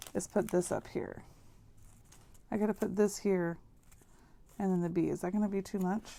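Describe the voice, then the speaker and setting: Soft-spoken and dark, mellow in tone, a woman talks in a monotone, flat intonation with long, frequent pauses. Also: medium pitch for a woman, moderate pace. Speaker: crafting YouTuber. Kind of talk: crafting tutorial. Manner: casual thinking aloud.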